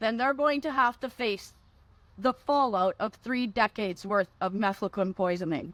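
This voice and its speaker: With lively intonation at a moderate pace, a woman speaks in a very clean recording with a silent background and a dry, close sound with no echo. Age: 60s. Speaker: advocate for mefloquine victims' families. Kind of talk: conference speech.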